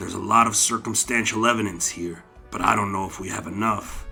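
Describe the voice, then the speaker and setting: Doing a put-on character voice, a raspy man talks at a fairly quick pace in a medium pitch with big swings in loudness while clear music plays in the background. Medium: read story. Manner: blunt, forceful.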